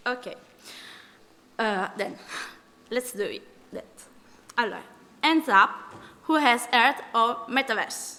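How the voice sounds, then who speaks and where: A woman's high-pitched, bright, sharp voice with an Italian accent, ordinary pitch variation, a fairly slow pace and long, frequent pauses. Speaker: civil servant, panel speaker. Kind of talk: conference talk.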